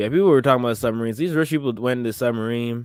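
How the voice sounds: Speaking at a very fast pace, a man has a clear, smooth, slightly mellow tone. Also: medium pitch for a man, ordinary pitch variation.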